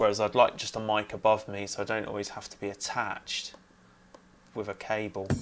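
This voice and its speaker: The delivery moves at a fairly quick pace in a monotone, flat intonation, with big swings in loudness. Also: man, fairly low pitch for a man. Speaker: music producer streamer. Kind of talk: live stream tutorial. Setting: home studio, live stream. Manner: mumbling at times. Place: home room. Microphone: cheap USB lav mic clipped on, may cut out; lapel.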